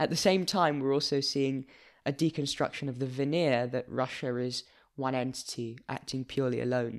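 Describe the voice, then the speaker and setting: With a London accent and fairly even intonation, a man speaks in a very clean recording with a silent background. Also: medium pitch for a man, moderate pace. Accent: British (London). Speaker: news podcast host. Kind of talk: casual news discussion. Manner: formal, articulate.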